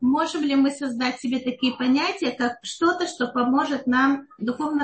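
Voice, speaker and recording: At a moderate pace, a woman speaks with a high pitch. Her pitch variation is ordinary. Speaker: online lesson host. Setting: online call.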